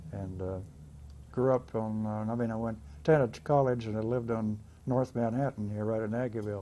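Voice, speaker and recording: With a US Midwestern accent, a man talks at a fairly quick pace and medium pitch, using ordinary pitch variation. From Kansas, US Midwest. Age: 80s+. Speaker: navy veteran. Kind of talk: oral history interview. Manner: halting.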